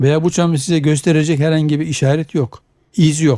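A fairly high-pitched man with a dark, mellow tone at a fairly quick pace, on a very clean recording with a silent background. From Turkey, grew up in Zonguldak, Eskişehir and Ankara. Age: 70s. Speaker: biology professor. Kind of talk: radio interview.

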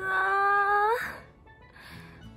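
A woman speaks with faint music in the background. The sound is dry, with no echo. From Aomori, Japan. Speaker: idol. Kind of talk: comedy skit. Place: home room. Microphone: phone near.

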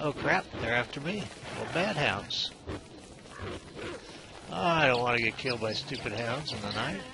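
Noticeable background noise accompanies fairly slow speech in a dry sound with no echo. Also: man. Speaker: game commentator. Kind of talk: let's play commentary. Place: home room. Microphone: headset.

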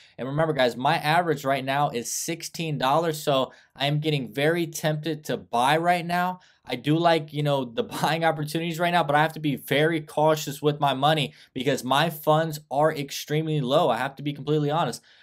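Against a quiet background, the man's intonation stays fairly even. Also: fairly quick pace. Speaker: stock commentator. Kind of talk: commentary. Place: home room. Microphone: webcam.

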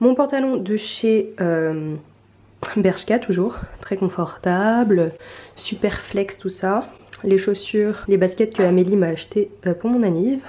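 At a very slow pace, a woman speaks in a dark, mellow tone, with long, frequent pauses. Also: ordinary pitch variation. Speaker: beauty and lifestyle vlogger. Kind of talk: casual vlog talk to camera. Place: home room. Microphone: phone near.

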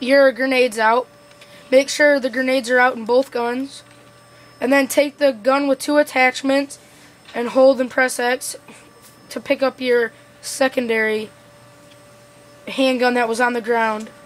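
Over noticeable background noise, a woman with a high voice speaks fairly slowly in a monotone, flat way, with long, frequent pauses. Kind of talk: video game tutorial narration. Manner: casual.

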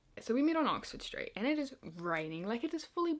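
A woman is speaking. She has a New Zealand accent. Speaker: YouTuber. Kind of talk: casual vlog storytelling. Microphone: phone near.

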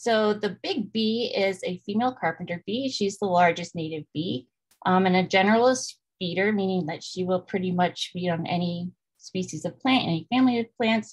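A somewhat breathy woman at a moderate pace, ordinary pitch variation, and a quiet background. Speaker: presenter. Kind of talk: lecture. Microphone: webcam.

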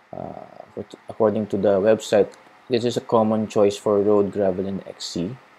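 A man speaks fairly slowly with a Filipino accent, his pitch fairly low. His tone is dark and mellow, and his intonation stays monotone and flat. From Philippines. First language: Tagalog. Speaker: cycling vlogger. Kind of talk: tutorial. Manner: casual Taglish code-switching.

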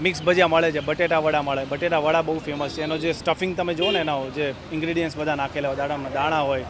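A man speaks with a fairly high pitch. Noticeable background noise runs behind him. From Saurashtra (Kathiawar), Gujarat, India. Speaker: food vlogger. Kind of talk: casual vlog narration. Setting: outdoors at a street food stall. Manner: animated.

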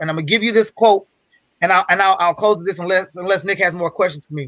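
A man speaks in a raised, projected voice with a bright, sharp tone and ordinary pitch variation, the sound dry with no echo against a quiet background. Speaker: guest speaker on a business masterclass. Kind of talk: motivational, casual. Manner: fast talker; fast talker, excitable. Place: home room.

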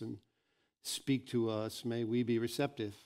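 Quiet background behind a man at a moderate pace. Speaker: pastor. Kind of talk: sermon. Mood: earnest, calm. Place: church. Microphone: headset.

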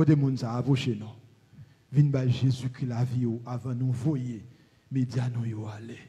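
Somewhat breathy and dark, mellow in tone, a man speaks very slowly in a monotone with flat intonation and long, frequent pauses. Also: medium pitch for a man. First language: Haitian Creole (speaking French). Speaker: pastor. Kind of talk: prayer.

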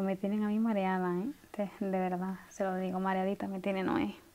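Soft-spoken and at a moderate pace, the voice carries a weary tone and a dark, mellow tone. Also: woman. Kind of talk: roleplay monologue to the viewer. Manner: soft-spoken, weary chatty phone talk. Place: home room.

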